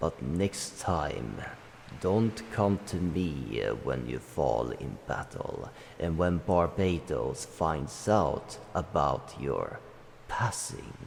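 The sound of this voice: Using a put-on character voice with vocal fry, a man speaks slowly with few pauses in an extremely low pitch that makes big swings.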